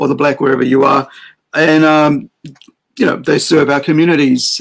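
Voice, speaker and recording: The background stays quiet while a man talks. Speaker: livestream host. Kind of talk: opinion commentary. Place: home room. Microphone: webcam.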